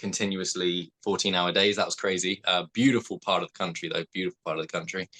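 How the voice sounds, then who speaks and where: With a southern English accent, a man speaks at a very deep, low pitch in a bright, sharp tone. The sound is dry and close with no echo, over a quiet background. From southeast England. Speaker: actor. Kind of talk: casual interview chat.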